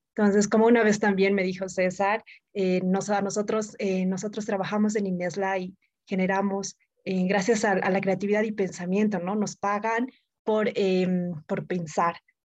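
In a monotone, flat delivery, a woman speaks at medium pitch. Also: moderate pace. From Bolivia, Oruro. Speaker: podcast co-host. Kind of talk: casual chat.

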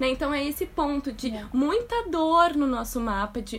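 At a moderate pace, a woman talks in a high pitch. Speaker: astrologer, podcast host. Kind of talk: casual chat.

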